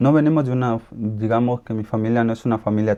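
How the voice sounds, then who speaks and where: At a very fast pace, a man with an Ecuadorian accent speaks in a fairly low voice with a dark, mellow tone. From Colombia, raised in Ecuador. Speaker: interviewee. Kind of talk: interview. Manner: halting.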